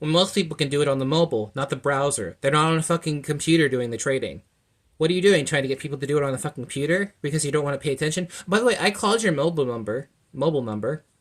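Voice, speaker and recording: Very fast speech from a man, fairly high in pitch, with ordinary pitch variation. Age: 20s. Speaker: consumer vlogger complaining about an app. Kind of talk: angry complaint rant to camera. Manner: fast, stumbling speech.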